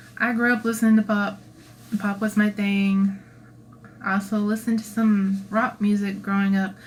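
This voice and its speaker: Somewhat breathy and at a medium pitch, a woman speaks at a moderate pace with monotone, flat intonation and very even loudness. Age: 30s. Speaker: cosplayer and channel creator. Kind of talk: livestream Q&A. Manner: casual, chatty.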